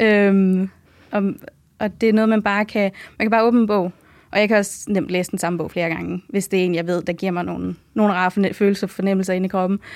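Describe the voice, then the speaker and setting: Intonation stays flat and monotone. The words come out at a very fast pace. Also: woman, medium pitch for a woman. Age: 20s. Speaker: medical student. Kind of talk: casual interview.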